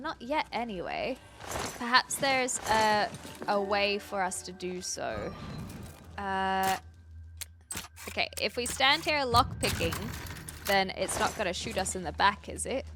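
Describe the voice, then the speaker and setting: Using a New Zealand accent, a woman speaks at a fairly slow pace with long, frequent pauses. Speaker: video game streamer. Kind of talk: live gameplay commentary. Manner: animated.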